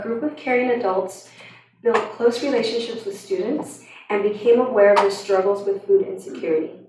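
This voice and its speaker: A woman keeps a moderate pace amid audible room echo and noticeable background noise. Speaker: school district coordinator. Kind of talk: reading aloud. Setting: school board meeting.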